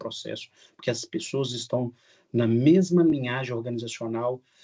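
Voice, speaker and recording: A man speaks in a somewhat breathy voice with ordinary pitch variation. The background is quiet. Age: 60s. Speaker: business speaker. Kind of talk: webinar talk. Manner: halting.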